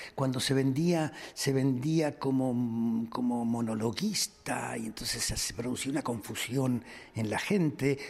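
A man talks at a very slow pace. His pitch shows ordinary variation. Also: medium pitch for a man. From Argentina. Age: 70s. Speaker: comedian. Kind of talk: interview.

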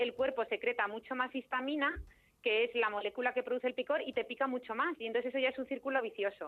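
Her energetic, high-pitched voice races at a very fast pace as a woman speaks with ordinary pitch variation. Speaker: dermatologist. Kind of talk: expert interview.

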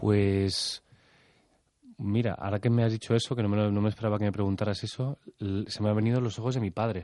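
Fairly low-pitched with a dark, mellow tone, a man talks at a very fast pace with fairly even intonation. The sound is dry and close, with no echo. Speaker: theatre actor. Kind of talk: radio interview.

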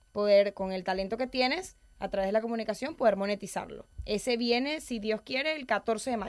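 A normal speaking voice with ordinary pitch variation. It runs on with hardly any pauses. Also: woman, fairly high pitch for a woman, moderate pace. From Venezuela. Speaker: public speaking coach. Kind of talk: interview.

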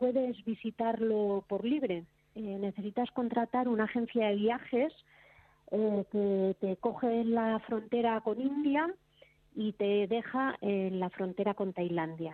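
Her voice fairly high, a woman speaks with ordinary pitch variation. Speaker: motorcycle traveler. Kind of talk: casual chat.

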